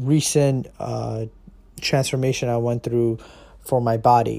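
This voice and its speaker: Intonation stays fairly even in a dark, mellow tone. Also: man. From US, Indian family. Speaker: podcast host. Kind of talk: solo monologue. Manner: casual, filler-heavy.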